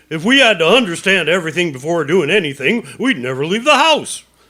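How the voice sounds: A man's put-on character voice, high-pitched and bright, sharp in tone, with big pitch swings at a fairly quick pace.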